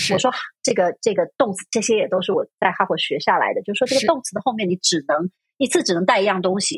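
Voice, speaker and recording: A woman talks at a very fast pace with lively intonation and a medium pitch. Her voice is somewhat breathy, with a dry, close sound and no echo. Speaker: university Chinese lecturer. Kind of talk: casual interview chat. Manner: hesitant, many fillers.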